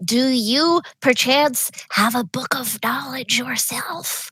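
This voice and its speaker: In a put-on character voice that sounds female, a speaker talks at a very slow pace and a high pitch. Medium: actual play. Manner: cheerful, earnest.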